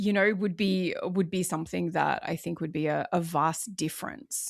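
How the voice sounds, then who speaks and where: On a very clean recording with a silent background, a woman with an Australian accent and a fairly low pitch talks at a moderate pace. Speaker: former police officer, first responder wellness coach. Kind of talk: interview answer.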